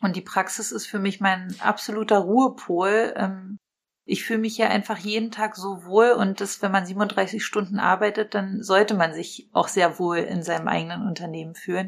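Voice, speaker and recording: In an ordinary speaking voice, a woman talks at a moderate pace with medium pitch and fairly even intonation on a very clean recording with a silent background. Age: 30s. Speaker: dentist and practice owner. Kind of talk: podcast interview.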